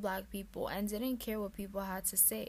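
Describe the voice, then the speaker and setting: Someone with an American accent talks at a moderate pace in an ordinary speaking voice. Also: woman. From New York, the Bronx. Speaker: student podcast host. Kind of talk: casual podcast narration and interview.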